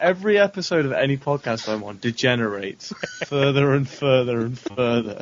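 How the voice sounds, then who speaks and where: A man with a British accent speaks fairly quickly with lively intonation over noticeable background noise. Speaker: podcaster. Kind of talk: casual chat.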